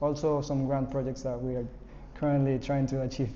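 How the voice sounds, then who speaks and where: A man speaks at a fairly high pitch. Room echo is audible. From Ecuador. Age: 20s. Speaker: programming instructor. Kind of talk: lecture; casual self-introduction.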